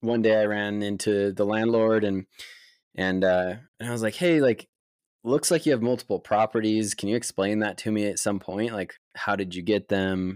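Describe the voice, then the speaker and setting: Someone with a western US accent is heard on a very clean recording with a silent background. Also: man, dry, close sound with no echo. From Utah. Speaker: tech sales account executive. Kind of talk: casual interview. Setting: call.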